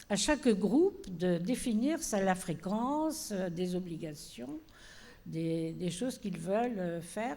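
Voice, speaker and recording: Speaking at a very slow pace, a woman uses lively intonation at medium pitch with a dark, mellow tone. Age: 80s+. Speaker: panelist, organizer of cohousing seminars. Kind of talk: panel discussion. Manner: hesitant, many fillers.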